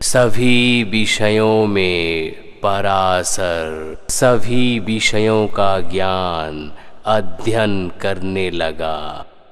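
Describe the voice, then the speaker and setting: In a cartoonish character voice, a man speaks at a very slow pace with a fairly low pitch. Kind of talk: bedtime story.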